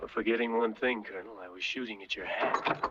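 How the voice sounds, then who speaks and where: A man puts on a raspy character voice at a medium pitch. He moves at a fairly quick pace with fairly even intonation. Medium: short film. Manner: laconic, wry.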